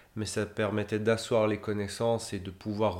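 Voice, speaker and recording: A man's fairly low voice moves along at a fairly slow pace. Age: 30s. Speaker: humanitarian logistician. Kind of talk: interview. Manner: hesitant, many fillers and repetitions.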